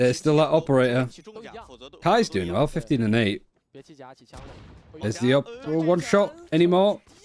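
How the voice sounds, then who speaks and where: A man at a fairly high pitch, with very wide pitch swings and long, frequent pauses. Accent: northern English. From northern England. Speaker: esports caster. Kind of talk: live commentary. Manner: fast; animated.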